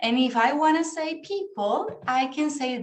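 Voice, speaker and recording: A woman with an American accent at a very slow pace, with audible room echo. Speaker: English teacher. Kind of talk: online class lesson. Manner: slow, clear teaching pace.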